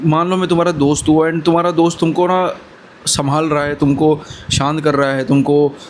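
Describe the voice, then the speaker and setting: Against noticeable background noise, a man with a fairly high voice keeps fairly even intonation at a moderate pace. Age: 20s. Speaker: motivational vlogger. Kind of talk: motivational talk to camera. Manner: casual, brotherly.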